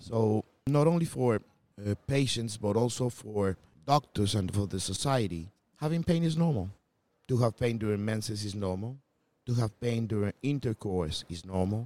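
Speaking at a moderate pace with a Spanish accent, a man uses lively intonation and a fairly low pitch, his tone dark and mellow and the sound dry and close with no echo. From Colombia. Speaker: gynecologist. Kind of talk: interview.

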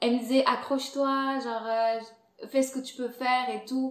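A woman with an Angolan accent and a high voice speaks at a very slow pace. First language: Portuguese (speaking French). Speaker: content creator and podcast host. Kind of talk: casual interview chat.

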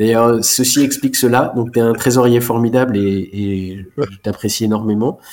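A moderate pace with hardly any pauses. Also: man, medium pitch for a man, fairly even intonation. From Alsace, France. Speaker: chartered accountant. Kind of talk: interview. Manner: halting.

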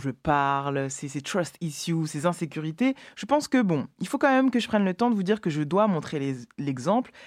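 Heard in a very clean recording against a silent background, a woman with a fairly low pitch speaks at a moderate pace with very wide pitch swings. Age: 30s. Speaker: radio show host. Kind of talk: radio show presenting. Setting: radio studio. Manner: halting, many repetitions.

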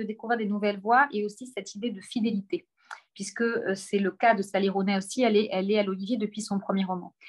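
A woman's somewhat breathy voice at a fairly quick pace, with ordinary pitch variation. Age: 40s. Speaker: publishing director. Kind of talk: book presentation on a video call. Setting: video call from her office.

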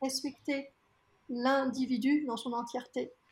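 A woman's high-pitched voice. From France. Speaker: diversity consultant. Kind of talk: interview.

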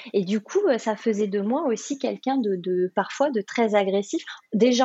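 A woman's voice with ordinary pitch variation. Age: 40s. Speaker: life coach. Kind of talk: interview. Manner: halting.

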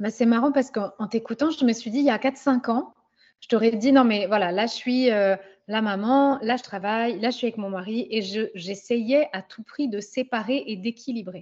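A woman with an unremarkable speaking voice, fairly high in pitch, at a moderate pace. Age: 30s. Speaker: business coach for women. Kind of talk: casual chat.

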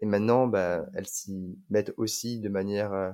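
Here a man talks at a fairly slow pace with a fairly low pitch. The recording is very clean, with a silent background. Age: 20s. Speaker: digital nomad, mobility consultant. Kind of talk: casual chat.

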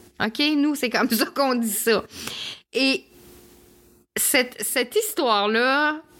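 Speaking very slowly in a Quebec accent, a woman with a high, bright, sharp voice uses lively intonation on a very clean recording with a silent background. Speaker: podcast host and holistic therapist. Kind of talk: personal storytelling monologue. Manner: hesitant with fillers.

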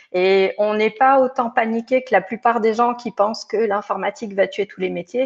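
This woman has an unremarkable speaking voice, fairly high in pitch, moving at a moderate pace with fairly even intonation and hardly any pauses, captured dry and close with no echo. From France, Hautes-Alpes. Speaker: tech recruiter. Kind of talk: interview.

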